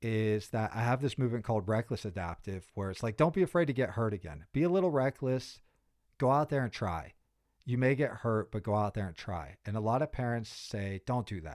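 With a fairly quick pace and lively intonation, a man in a plain, everyday voice speaks at a medium pitch with an American accent on a very clean recording with a silent background. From US, Pittsburgh, Pennsylvania. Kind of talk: podcast interview.

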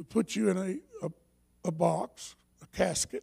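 This man's high-pitched voice has a dark, mellow tone and very wide pitch swings. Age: 70s. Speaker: pastor. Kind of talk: sermon. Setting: church. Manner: halting.

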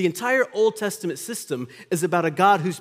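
A man with an unremarkable speaking voice talks at a moderate speed, his intonation lively, in a very clean recording with a silent background. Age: 40s. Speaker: pastor. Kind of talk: sermon. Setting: church.

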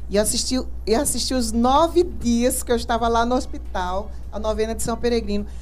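A woman at a moderate pace, with audible room echo around her voice. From Recife, Pernambuco, Brazil. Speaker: cancer survivor, integrative therapist. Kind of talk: testimony. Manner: laughs often when greeting.

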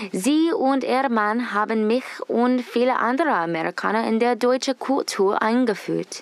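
Fairly slow speech in an English accent, very even in loudness, over noticeable background noise. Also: woman, high pitch for a woman, ordinary pitch variation. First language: English (speaking German). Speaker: student reporter. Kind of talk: scripted narration.

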